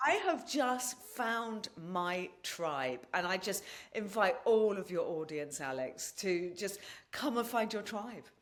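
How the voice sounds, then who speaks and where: A woman with an English accent speaks at a very slow pace, her pitch swinging very widely. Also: medium pitch for a woman. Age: 60s. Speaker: podcast host and natural-healing advocate. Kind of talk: interview chat.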